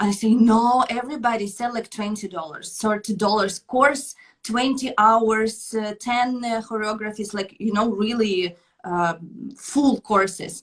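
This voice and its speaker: Somewhat breathy, a woman speaks at a fairly high pitch. Her pace is fairly slow, with ordinary pitch variation. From Ukraine. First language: Russian or Ukrainian. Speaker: belly dancer and dance teacher. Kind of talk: interview. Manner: halting.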